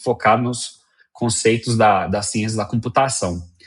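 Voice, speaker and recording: This is a man speaking at a medium pitch. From Colombia. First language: Spanish (speaking Portuguese). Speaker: software engineer. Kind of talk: interview. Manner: halting, many fillers.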